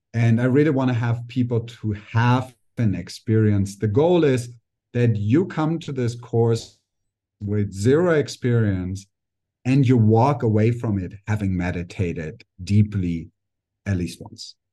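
At a fairly slow pace, a man with a somewhat breathy, dark and mellow tone speaks at medium pitch with ordinary pitch variation against a quiet background. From Germany. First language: German. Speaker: life coach. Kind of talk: casual interview. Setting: remote call.

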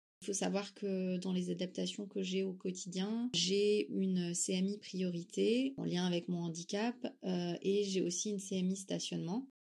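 A woman with a plain, everyday voice speaks at a fairly slow pace and medium pitch, with hardly any pauses. Her intonation is fairly even and her loudness very even. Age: 30s. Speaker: young mother sharing testimony. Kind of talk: testimony.

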